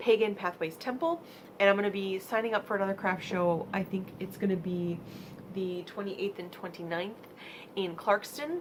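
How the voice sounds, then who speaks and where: A woman with an American accent, medium in pitch, at a moderate pace with ordinary pitch variation, over noticeable background noise. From US Midwest, Michigan. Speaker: vlogger and crafter. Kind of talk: casual vlog monologue. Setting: home vlog space. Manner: halting.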